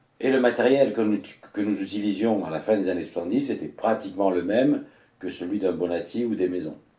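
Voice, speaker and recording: A man speaks fairly slowly in a fairly low voice with a dark, mellow tone and ordinary pitch variation. Audible room echo surrounds his voice. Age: 60s. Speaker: retired mountain guide. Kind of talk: personal storytelling. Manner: hesitant with fillers.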